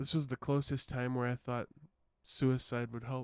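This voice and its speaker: Music plays in the background. A man talks at a medium pitch in a monotone, flat intonation. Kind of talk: personal life story told to camera.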